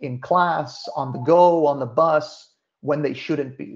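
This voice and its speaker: Fairly high in pitch, a man talks at a moderate pace in a normal speaking voice with fairly even intonation. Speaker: food influencer and social media presenter. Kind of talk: webinar presentation. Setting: online webinar.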